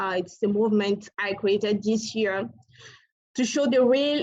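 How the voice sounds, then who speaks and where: Speaking in a West African accent, a woman uses a medium pitch, fairly even intonation and a moderate pace. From Togo. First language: French. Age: young. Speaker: climate activist. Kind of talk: speech at a virtual award ceremony. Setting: video call. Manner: halting.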